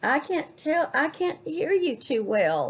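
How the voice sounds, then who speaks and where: A croaky, high-pitched put-on character voice carries the lines. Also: fairly slow pace. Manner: sly.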